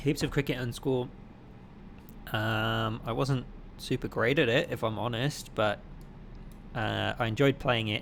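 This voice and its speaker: At a fairly slow pace and a medium pitch, a man talks with vocal fry, fairly even intonation and long, frequent pauses. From Wales, near Cardiff. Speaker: flight sim streamer. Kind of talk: live gaming stream commentary. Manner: casual, with many fillers.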